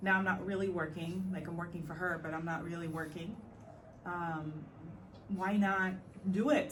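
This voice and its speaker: With fairly even intonation and a medium pitch, a woman speaks at a fairly slow pace amid audible room echo. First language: not English. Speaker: podcast host. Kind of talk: personal reflective monologue. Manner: hesitant, many fillers.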